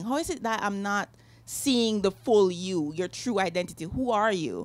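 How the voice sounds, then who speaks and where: On a very clean recording with a silent background, a woman with a Jamaican accent speaks at a moderate pace in a medium pitch with lively intonation. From Jamaica, Kingston. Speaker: novelist. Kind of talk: author interview. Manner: halting, many fillers.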